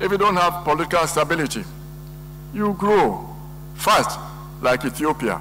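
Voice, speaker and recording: A man's voice amid audible room echo and noticeable background noise. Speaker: economist. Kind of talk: lecture.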